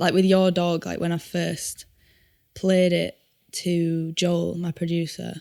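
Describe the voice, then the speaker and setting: Very slow and in a monotone, flat intonation, a woman with a Yorkshire accent speaks at fairly low pitch with a dark, mellow tone. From Yorkshire, northern England. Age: 20s. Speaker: singer-songwriter. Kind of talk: podcast interview. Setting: studio.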